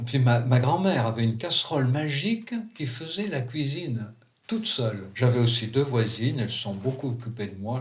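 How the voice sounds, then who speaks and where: Somewhat breathy and at medium pitch, a man talks at a fairly quick pace with ordinary pitch variation and big swings in loudness. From France, Valence. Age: 70s. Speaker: psychiatrist. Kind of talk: autobiographical narration.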